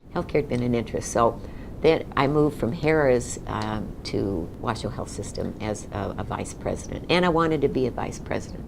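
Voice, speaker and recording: Audible room echo surrounds a woman with an American accent whose very deep, low voice carries lively intonation. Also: moderate pace. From Nevada, US (Reno). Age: 70s. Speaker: retired executive and community leader. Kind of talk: oral history interview. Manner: conversational with frequent fillers.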